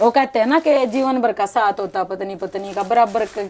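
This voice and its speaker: A woman with a Haryanvi accent, fairly high pitch, ordinary pitch variation and a moderate pace. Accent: Haryanvi-accented Hindi. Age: 60s. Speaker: online clothing seller. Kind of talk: interview.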